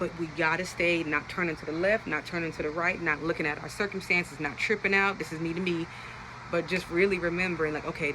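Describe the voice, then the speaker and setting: Against noticeable background noise, a woman talks very fast in a fairly low voice with an animated tone. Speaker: Bible teacher on social media. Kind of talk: Bible study talk.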